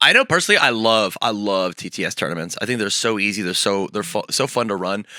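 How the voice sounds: Raspy and bright with a sharp edge, a man's fairly low voice moves fast with lively intonation. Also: dry, close sound with no echo.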